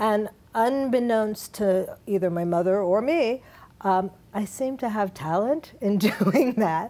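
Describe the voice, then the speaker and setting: At a very slow pace, a woman with an American accent speaks in a dark, mellow tone with ordinary pitch variation. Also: fairly high pitch for a woman. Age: 60s. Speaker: dance academy founder, former dancer. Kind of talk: TV interview.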